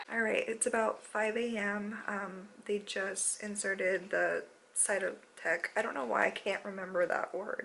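A woman talks fairly slowly while light noise runs in the background. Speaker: expectant mother vlogger. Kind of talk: casual vlog chat. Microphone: phone near.

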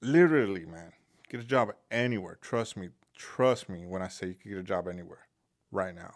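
A plain, everyday voice at a fairly quick pace with big swings in loudness and ordinary pitch variation, in a very clean recording with a silent background. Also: man, fairly low pitch for a man. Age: 30s. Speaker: mechanic and video host. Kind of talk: casual monologue. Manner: casual, rambling with fillers.

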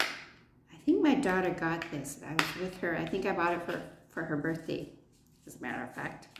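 A woman talks at a moderate pace in a fairly low pitch with ordinary pitch variation. Her loudness swings widely, and loud background noise fills the recording. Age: 60s. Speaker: beauty vlogger. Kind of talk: product review. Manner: animated. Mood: cheerful, relaxed. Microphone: phone near.

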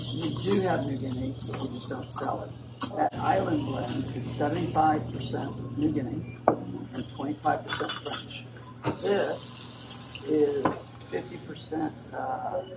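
A man's very slow speech against loud background noise. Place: cafe. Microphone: camera far.

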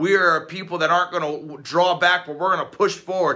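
A man speaks at a high pitch with a bright, sharp tone. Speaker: pastor. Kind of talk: fervent extemporaneous prayer, declaring renewed hope over listeners. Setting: recorded video message. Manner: run-on, breathless torrent of phrases with no pauses; rising, emphatic repetition building intensity. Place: home room. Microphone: phone near.

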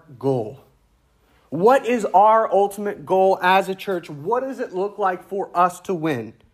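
A man with a Louisiana accent speaks at a fairly slow pace on a very clean recording with a silent background. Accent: Southern US (Louisiana). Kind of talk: sermon. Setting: church.

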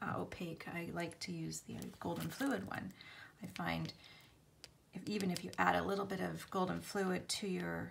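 Noticeable background noise accompanies a woman as she speaks. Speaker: craft artist demonstrating. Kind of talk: tutorial.

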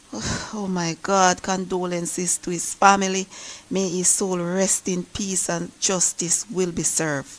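A woman's medium-pitched voice at a fairly slow pace, with fairly even intonation and noticeable background noise. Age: 40s. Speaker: YouTuber. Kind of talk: news commentary.

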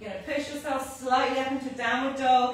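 A woman at a moderate pace, with strong room echo and light background noise. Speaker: fitness instructor. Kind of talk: live workout instruction. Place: gym. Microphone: camera far.

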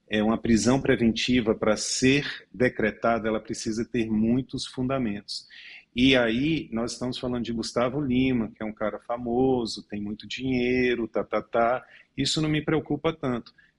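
A man speaks with fairly even intonation in a Brazilian accent. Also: medium pitch for a man, moderate pace. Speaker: lawyer. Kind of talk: news panel commentary.

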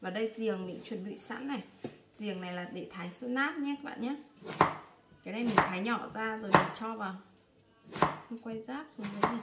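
A woman talks with ordinary pitch variation and long, frequent pauses. Loud background noise runs behind her. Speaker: home cook vlogger. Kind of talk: cooking tutorial. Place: home room. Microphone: phone near.

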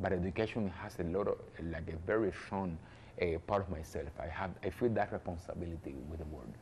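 This voice has a Spanish accent and is somewhat breathy, with ordinary pitch variation. The pace is fairly quick, over light background noise. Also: man, very deep, low pitch for a man. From Cuba, Havana; Cuba. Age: young. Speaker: jazz pianist and composer; interviewee. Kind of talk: interview. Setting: cultural centre in Havana. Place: hall. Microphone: lapel.

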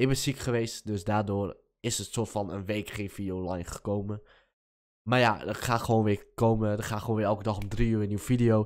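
A man talks at a fairly quick pace in a fairly low voice. His intonation is monotone and flat, and the background is quiet. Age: young. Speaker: gaming youtuber. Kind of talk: casual vlog talk. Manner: hesitant, many filler words. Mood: relaxed, slightly apologetic. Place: home room. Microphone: studio mic.

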